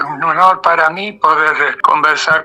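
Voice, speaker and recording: Noticeable background noise sits behind the voice. Delivery is fairly slow, with intonation that stays fairly even. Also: man. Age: 80s+. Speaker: lawyer. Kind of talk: radio interview. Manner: halting.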